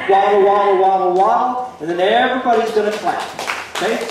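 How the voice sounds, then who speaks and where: Moderate pace amid noticeable background noise and strong room echo. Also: man. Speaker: square dance caller. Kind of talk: dance calling, instructing a group. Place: hall.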